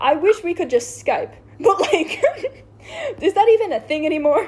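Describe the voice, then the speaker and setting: An extremely high-pitched woman's voice with very wide pitch swings over noticeable background noise. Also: moderate pace. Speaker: show explainer recapping a series. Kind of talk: casual chat.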